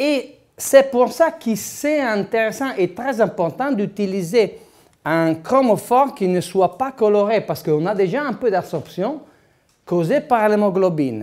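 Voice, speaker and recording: A man with an Italian accent, high-pitched, with lively intonation and a very slow pace. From Italy. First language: Italian (speaking French). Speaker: dentist lecturer. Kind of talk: lecture. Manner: halting, many hesitations.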